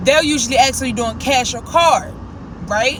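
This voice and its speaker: A woman at a fairly quick pace amid noticeable background noise and audible room echo. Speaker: lifestyle vlogger. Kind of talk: casual vlog talk to camera. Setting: in a car. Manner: fast.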